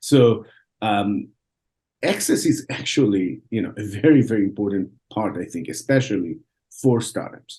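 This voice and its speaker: A man with an Israeli accent and a dark, mellow tone, lively intonation, a moderate pace, and long, frequent pauses. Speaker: venture capital investor. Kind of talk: podcast interview. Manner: halting, many repeated words.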